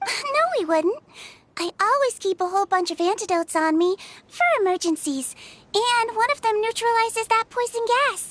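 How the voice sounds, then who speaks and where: Someone uses a put-on character voice at an extremely high pitch, speaking in a confident tone at a moderate pace. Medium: video game. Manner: breezy, confident.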